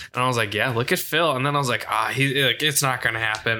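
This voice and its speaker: A man's medium-pitched, bright, sharp voice moves at a fairly quick pace with fairly even intonation on a very clean recording with a silent background. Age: 20s. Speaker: golf podcast co-host. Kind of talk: casual chat.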